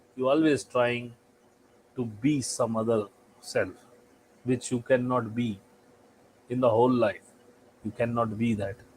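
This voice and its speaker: A man with an Indian accent speaks at a fairly slow pace with fairly even intonation. Long, frequent pauses break up his speech. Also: medium pitch for a man. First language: Hindi. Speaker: spiritual channel host. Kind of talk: spiritual talk. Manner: halting.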